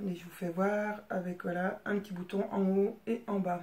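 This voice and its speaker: Somewhat breathy, a woman's voice moves at a fairly slow speed. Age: 30s. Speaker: sewing hobbyist vlogger. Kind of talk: casual show-and-tell vlog. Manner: hesitant, many fillers.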